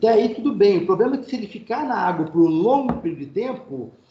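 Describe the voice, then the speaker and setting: Audible room echo carries a man's voice as his pitch swings very widely. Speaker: university lecturer. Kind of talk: online lecture. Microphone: internet connection freezing at times.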